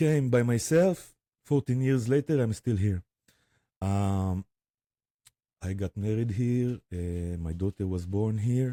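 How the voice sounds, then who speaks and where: A dark, mellow tone in an Israeli accent, at a very slow pace with long, frequent pauses and a dry, close sound with no echo. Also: man, fairly low pitch for a man, ordinary pitch variation, very clean recording, silent background. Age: 40s. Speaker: spiritual guide and drummer. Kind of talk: interview testimony. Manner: halting, many fillers.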